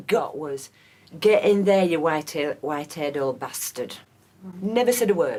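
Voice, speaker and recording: Here a woman speaks in a Yorkshire accent. Her intonation is lively and her pace moderate. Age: 70s. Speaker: local resident, pensioner. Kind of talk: complaint recounting incident.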